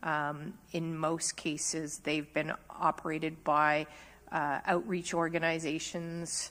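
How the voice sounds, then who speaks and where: A woman speaks very slowly in a very deep, low voice with flat, monotone intonation. The recording is very clean, with a silent background. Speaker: municipal official. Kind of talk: council meeting answer.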